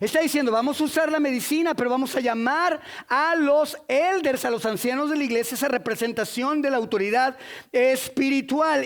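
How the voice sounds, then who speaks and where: A man's extremely high-pitched voice at a fairly slow pace, with ordinary pitch variation. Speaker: preacher. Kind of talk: sermon. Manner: animated.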